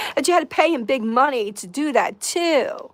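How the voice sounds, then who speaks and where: A woman with an American accent talks in a high, animated voice that swings very widely in pitch. The recording is very clean, with a silent background. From New York. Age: 60s. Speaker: live streamer. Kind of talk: livestream rant.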